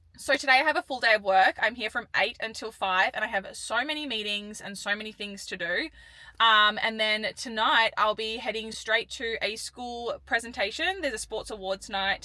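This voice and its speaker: Speaking with an Australian accent and hardly any pauses, a woman has a fairly high pitch and a bright, sharp tone. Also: ordinary pitch variation, moderate pace. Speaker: professional sprinter and vlogger. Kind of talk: vlog talking to camera.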